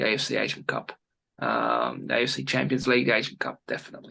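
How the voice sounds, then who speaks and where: A man with a medium pitch speaks in an Australian accent. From Australia, Sydney. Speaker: former goalkeeper and football analyst. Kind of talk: interview. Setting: video call. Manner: halting, many fillers.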